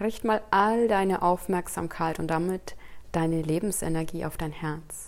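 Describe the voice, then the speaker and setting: A woman with a plain, everyday voice speaks at a fairly slow pace, her pitch fairly low and her intonation fairly even. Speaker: meditation guide. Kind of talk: guided meditation, calm spoken instructions to a single listener. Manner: slow, soft-spoken, soothing, with long pauses; gentle and inviting, addressing listener as "du".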